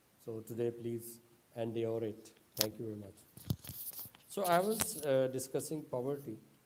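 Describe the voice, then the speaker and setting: Audible room echo carries a man's medium-pitched voice at a moderate pace, with ordinary pitch variation and long, frequent pauses. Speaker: online speaker on social issues. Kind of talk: lecture. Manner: halting non-native phrasing.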